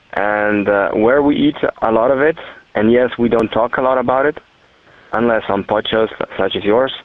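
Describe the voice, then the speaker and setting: At a moderate pace and a medium pitch, a man with a Slovenian accent speaks with fairly even intonation and very even loudness. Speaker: listener caller. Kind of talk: voicemail message. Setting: phone call.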